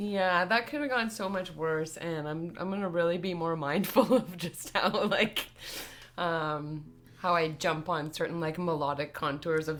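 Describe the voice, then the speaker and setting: There is music in the background as a woman with a fairly low pitch talks in a Toronto accent. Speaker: indie-folk musician. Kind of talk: casual chat. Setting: livestream.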